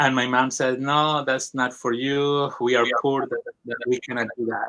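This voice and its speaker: In a Colombian accent, a man talks at medium pitch and a moderate pace. His tone is bright and sharp, his intonation flat and monotone. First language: Spanish. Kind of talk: interview testimony. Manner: halting, many fillers.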